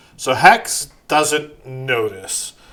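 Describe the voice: The speaker is plainly reading aloud with fairly even intonation.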